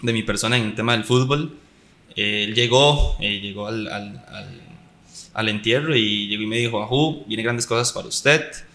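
With a Costa Rican accent, a man talks at a fairly slow pace in a bright, sharp tone. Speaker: professional footballer. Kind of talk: casual chat. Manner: animated.

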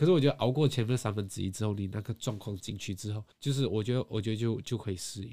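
A man speaks very fast with hardly any pauses, his fairly low voice somewhat breathy and his pitch varying in an ordinary way. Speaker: podcast co-host. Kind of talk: casual chat. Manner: slurred articulation.

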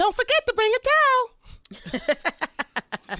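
A put-on character voice comes out squeaky and extremely high in pitch. It moves at a fairly slow pace.

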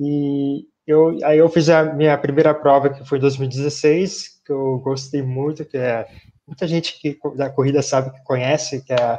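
The voice has a dark, mellow tone and moves at a fairly slow pace with monotone, flat intonation. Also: man. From São Paulo city, Brazil. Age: 20s. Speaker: physical education graduate, runner. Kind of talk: casual interview. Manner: halting.

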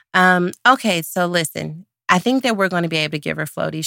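In a very clean recording with a silent background, a woman with an American accent talks at a fairly quick pace in a fairly low, bright and sharp voice, the sound dry and close with no echo. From Dallas, Texas. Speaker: podcast host and pastor. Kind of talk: casual chat. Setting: Facebook Live video stream.

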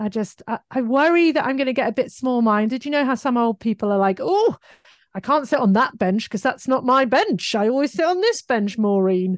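A woman's high-pitched voice with a British accent, fairly quick and lively in intonation, very even in loudness, dry and close with no echo over a quiet background. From UK. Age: 40s. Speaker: digital marketing entrepreneur. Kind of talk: casual interview chat.

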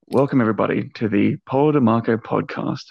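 Here is an ordinary speaking voice: a man at medium pitch and moderate pace, with ordinary pitch variation. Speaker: podcast host. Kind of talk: interview questions.

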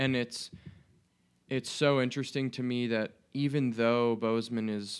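A man has an ordinary speaking voice with a medium pitch and fairly even intonation. The recording is very clean, with a silent background. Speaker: student podcast host. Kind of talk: casual interview.

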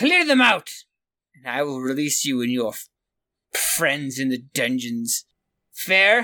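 The speaker uses a put-on character voice with a low-to-middle pitch. Delivery is fairly slow, broken by long, frequent pauses. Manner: haughty, impatient, commanding.

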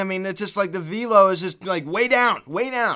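In a raised, projected voice, a man with a high pitch and a bright, sharp tone speaks at a very fast pace with ordinary pitch variation. The recording is very clean, with a silent background. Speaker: baseball podcast host. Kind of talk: angry sports rant, scornful rapid-fire venting after a loss. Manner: exasperated, sarcastic, emphatic.

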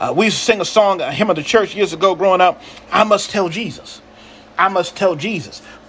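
A man with a high pitch speaks over noticeable background noise. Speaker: pastor. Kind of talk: sermon, rhythmic repetitive preaching flow with call-and-response. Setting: livestream to online audience. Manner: fervent and incantatory, repeating phrases in escalating cadence; exhorting, calls for audience amens.

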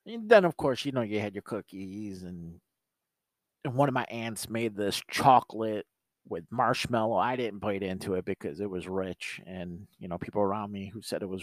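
A man with a normal speaking voice talks at a moderate pace and a fairly low pitch, his pitch varying in an ordinary way while his loudness swings widely. The recording is very clean with a silent background, and the sound is dry and close, with no echo. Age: 40s. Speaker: podcast host. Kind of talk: casual solo monologue. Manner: casual, with filler words.

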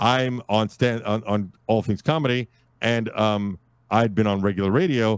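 A man with an American accent uses a normal speaking voice at a medium pitch and a moderate pace, with ordinary pitch variation, very even loudness, and a dry, close sound with no echo. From US Northeast, Brooklyn, New York. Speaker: podcast host and network founder. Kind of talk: casual interview.

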